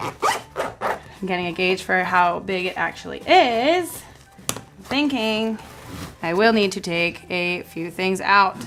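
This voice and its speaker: Noticeable background noise runs behind a woman speaking at a very slow pace. Her pitch varies in an ordinary way. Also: medium pitch for a woman. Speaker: travel vlogger. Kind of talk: instructional packing vlog. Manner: casual, joking.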